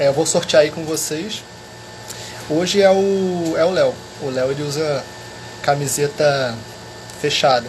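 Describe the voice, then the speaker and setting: This soft-spoken man has a fairly high pitch and talks at a fairly slow pace. His speech has long, frequent pauses, with noticeable background noise behind it. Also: ordinary pitch variation. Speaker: history teacher. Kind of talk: live stream chat.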